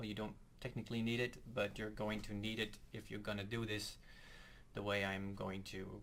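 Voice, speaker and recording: A man with a Dutch accent speaks at a moderate pace in a fairly low, monotone, flat voice. Room echo can be heard. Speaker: guitar tutorial youtuber. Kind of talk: tutorial. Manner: halting, hesitant. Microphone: poor audio quality, voice in right channel.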